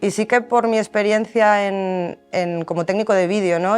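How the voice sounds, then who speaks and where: With music in the background, a woman speaks with fairly even intonation. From El Bierzo, León, Spain. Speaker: focus puller. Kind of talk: interview answer.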